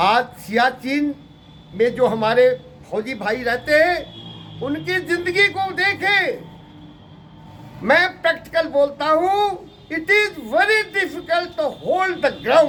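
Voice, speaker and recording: A man speaks in a raised, projected voice at an extremely high pitch. The intonation is lively. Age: 80s+. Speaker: retired paramilitary officer. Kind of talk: interview monologue. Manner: impassioned, rhetorical.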